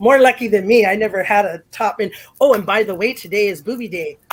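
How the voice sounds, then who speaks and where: A woman speaks in an animated tone at a fairly high pitch, with ordinary pitch variation and a moderate pace. The recording is very clean, with a silent background. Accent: American. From US West (East Los Angeles). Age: 50s. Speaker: former professional wrestler. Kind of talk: interview.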